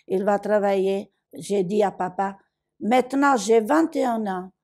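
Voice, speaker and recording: A woman with an Italian accent at a very slow pace, on a very clean recording with a silent background. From southern Italy, Basilicata. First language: Italian (speaking French). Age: 80s+. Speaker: migrant woman. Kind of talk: testimony. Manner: animated.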